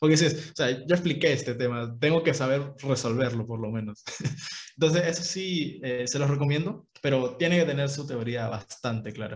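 A man speaks at a moderate pace with a fairly high pitch. He has an ordinary speaking voice and ordinary pitch variation. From Peru, Ica. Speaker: university student podcast co-host. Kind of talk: casual chat.

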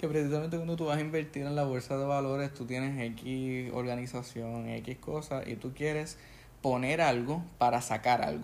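A man speaks in a Puerto Rican accent with fairly even intonation. Room echo is audible. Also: medium pitch for a man, moderate pace. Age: 20s. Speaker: podcast host, English teacher and aspiring pastor. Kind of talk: casual chat. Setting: home living room.

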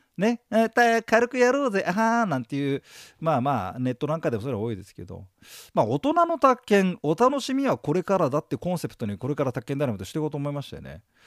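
A man talks very fast at a fairly high pitch, with very wide pitch swings and big swings in loudness. The recording is very clean, with a silent background. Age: 50s. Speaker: exam prep lecturer. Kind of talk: lecture. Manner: casual, filler-heavy.

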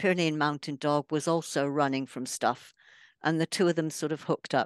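A woman speaks at a very deep, low pitch with ordinary pitch variation. The sound is dry and close with no echo, and the background is quiet. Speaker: author and photographer. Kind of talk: casual interview chat.

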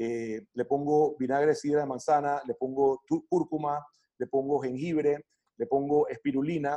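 A man's fairly high voice with ordinary pitch variation at a fairly slow pace, dry and close with no echo, music playing in the background. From Panama. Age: 40s. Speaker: wellness coach. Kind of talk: interview. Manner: hesitant, many fillers and repetitions.

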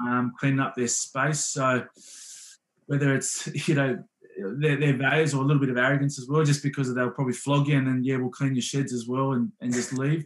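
With an Australian accent, a man speaks at a fairly quick pace in a medium pitch, his intonation monotone and flat. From Western Sydney, Australia. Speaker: professional rugby player. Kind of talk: casual chat.

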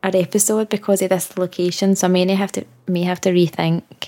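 In a Scottish accent, a woman speaks at a fairly quick pace. Her pitch is medium and her intonation monotone and flat. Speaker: podcast co-host. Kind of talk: casual chat.

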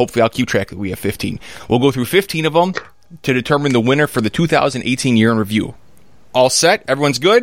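The speaker talks at a very fast pace in an animated tone with lively intonation. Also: man, medium pitch for a man. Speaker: podcast host. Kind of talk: casual podcast chat. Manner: animated, joking.

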